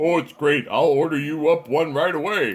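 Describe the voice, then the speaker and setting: Using a put-on character voice, a man speaks at a fairly high pitch and moderate pace, with fairly even intonation and very even loudness. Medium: solo performance. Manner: taunting, smug.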